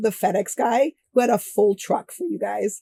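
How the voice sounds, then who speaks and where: A woman with a dark, mellow tone and a somewhat breathy, fairly high voice speaks at a fairly slow pace in a dry, close sound with no echo. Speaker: book discussion co-host. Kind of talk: casual chat.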